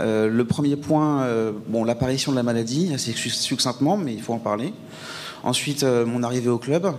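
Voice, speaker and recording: A man speaks at a moderate speed, with noticeable background noise behind him. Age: 30s. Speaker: mental health testimony speaker. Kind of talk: testimony. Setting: event with audience. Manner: halting, many hesitations.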